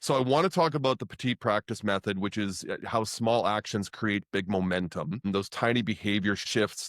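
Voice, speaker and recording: A normal speaking voice from a man with a Canadian accent, fairly low in pitch with ordinary pitch variation, dry and close with no echo, in a very clean recording with a silent background. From Canada. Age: 50s. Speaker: podcast host. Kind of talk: interview.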